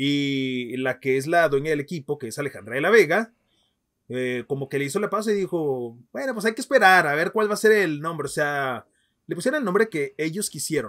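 Over a quiet background, a man speaks fairly quickly, his fairly high pitch carried by lively intonation. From Mexico, Ciudad Juárez, Chihuahua; Chihuahua, Mexico. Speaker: football podcast host. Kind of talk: casual chat. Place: home room. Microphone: webcam.

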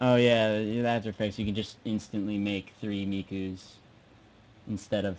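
A man speaks at a moderate pace in an American accent, his intonation monotone and flat. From US, South Jersey. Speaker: live streamer giving software tutorial. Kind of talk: tutorial. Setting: live stream from home computer. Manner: halting, many fillers.

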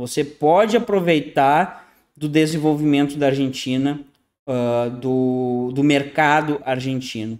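Very slow speech from a man, fairly high in pitch, with ordinary pitch variation. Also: quiet background. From southern Brazil, Rio Grande do Sul. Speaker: online consultant and YouTube channel host on internationalization. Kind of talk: monologue presentation to viewers, screen share. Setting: at home in an apartment in Panama City, video recording. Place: home room. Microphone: webcam.

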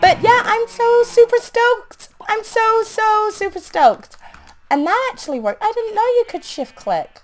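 A woman's extremely high voice at a moderate pace, with ordinary pitch variation and music in the background. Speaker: gaming YouTuber. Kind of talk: casual gameplay commentary. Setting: home recording, gameplay voiceover. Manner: animated, chatty.

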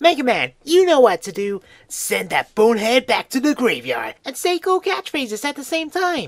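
High pitch with hardly any pauses. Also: moderate pace. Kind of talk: comic parody dubbing.

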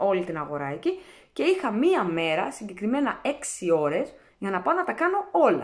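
Over a quiet background, a woman speaks at a fairly quick pace. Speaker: vlogger. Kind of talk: casual vlog chat, answering comments. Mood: firm, slightly defensive. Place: kitchen. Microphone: phone near.

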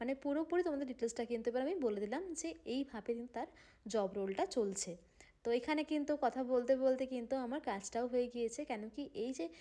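A woman's high voice with ordinary pitch variation. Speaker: housewife vlogger. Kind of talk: vlog narration. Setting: at home.

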